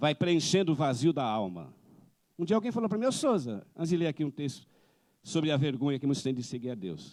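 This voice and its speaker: A man speaks with a dark, mellow tone at fairly high pitch, his pitch swinging very widely. The recording is very clean, with a silent background. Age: 60s. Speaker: missionary preacher. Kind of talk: sermon.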